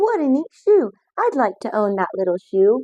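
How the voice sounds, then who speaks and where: A woman's high-pitched put-on character voice, with very wide pitch swings, at a moderate pace. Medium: read story.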